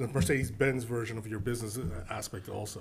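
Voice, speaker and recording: Talking at a very fast pace with fairly even intonation, a man uses a somewhat breathy medium-pitched voice amid audible room echo. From Filipino heritage. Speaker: podcast host. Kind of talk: casual chat.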